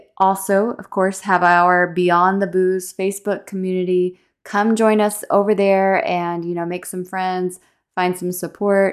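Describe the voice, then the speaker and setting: A woman with an American accent, medium pitch, monotone, flat intonation and a fairly slow pace, on a very clean recording with a silent background. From Texas. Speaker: podcast host. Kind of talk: casual interview chat.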